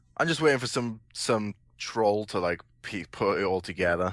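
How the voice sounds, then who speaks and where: Against a quiet background, a man speaks at a moderate pace with a Welsh accent. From Wales. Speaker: panelist. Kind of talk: casual chat.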